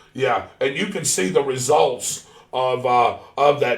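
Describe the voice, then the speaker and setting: A man's voice amid noticeable background noise. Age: 60s. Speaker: talk show host. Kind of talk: casual interview. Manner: halting.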